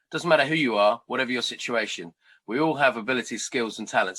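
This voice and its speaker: A man's bright, sharp, medium-pitched voice at a very fast pace with lively intonation, on a very clean recording with a silent background. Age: 50s. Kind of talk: interview. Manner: animated.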